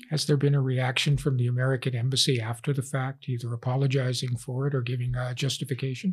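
A man with a somewhat breathy, medium-pitched voice speaks at a very fast pace in a flat monotone, with hardly any pauses. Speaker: professor. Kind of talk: interview.

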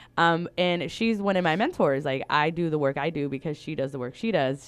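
A plain, everyday voice with an American accent, lively intonation and a fairly quick pace against a quiet background. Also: woman. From California Central Valley. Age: 30s. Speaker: LGBTQ+ educator and activist. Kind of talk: interview. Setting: studio.

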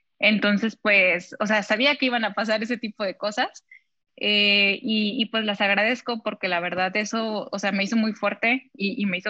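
In a bright, sharp tone at medium pitch, a woman speaks at a moderate pace with fairly even intonation, the sound dry and close with no echo. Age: 20s. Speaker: model. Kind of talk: interview.

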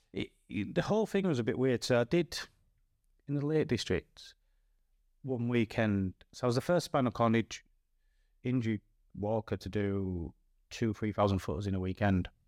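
With a northern English accent, a man talks at medium pitch and a moderate pace, with lively intonation and long, frequent pauses. The recording is very clean and silent behind him, dry and close with no echo. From northern England. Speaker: former footballer turned mountain climber. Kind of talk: casual chat.

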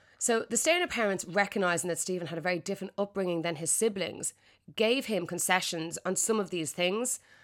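A woman with a plain, everyday voice speaks at a fairly quick pace with medium pitch and ordinary pitch variation on a very clean recording with a silent background. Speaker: podcast host. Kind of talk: true-crime narration. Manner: clear, steady storytelling delivery.

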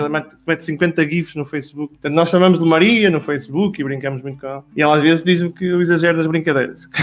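The man's pitch is fairly high and his intonation fairly even. He talks at a very fast pace. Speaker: business professional. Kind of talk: casual chat.

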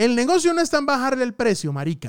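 Very wide pitch swings mark this man's speech. The recording is very clean, with a silent background and a dry, close sound with no echo. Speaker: podcast host, digital marketing. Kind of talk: casual monologue. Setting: studio. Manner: varies speed and pitch for emphasis.

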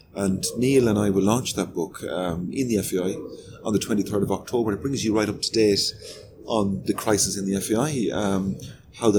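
Music in the background behind a man's fairly low voice at a moderate pace. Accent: Limerick. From Ireland, Limerick. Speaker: football association executive. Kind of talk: interview.

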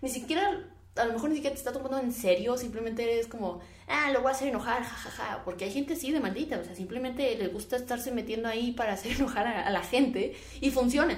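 A woman speaks at a very fast pace with a high pitch and ordinary pitch variation. Noticeable background noise and audible room echo accompany her voice. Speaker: podcast host. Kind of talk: casual opinion monologue. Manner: halting, stumbling over words.

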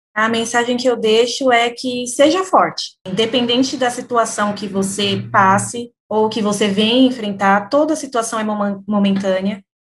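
Using an unremarkable speaking voice, a woman talks fairly slowly with hardly any pauses, her fairly high pitch showing ordinary variation. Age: 20s. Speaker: company employee in public sales team. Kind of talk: interview.

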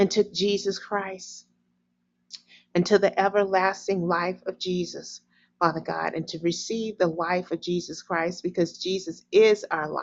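Using fairly even intonation, a woman with an American accent talks at a fairly slow pace and medium pitch. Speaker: prayer leader. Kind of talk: fervent prayer. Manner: repetitive, earnest, imploring; halting when stumbling over words.

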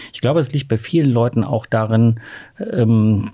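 At a fairly slow pace, a man speaks with medium pitch, fairly even intonation and a somewhat breathy quality. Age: 50s. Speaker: LGBT rights activist, association chair. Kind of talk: podcast interview.

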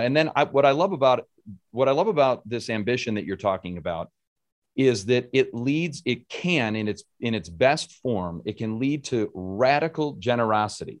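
A man's normal speaking voice, medium in pitch, with an American accent, lively intonation, a moderate pace and a quiet background. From Rochester, New York. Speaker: podcast host. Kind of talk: interview conversation.

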